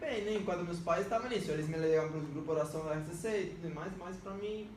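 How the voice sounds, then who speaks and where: A man's high-pitched voice amid noticeable background noise and audible room echo. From Venezuela. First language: Spanish (speaking Portuguese). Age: 20s. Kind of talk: podcast interview, personal testimony.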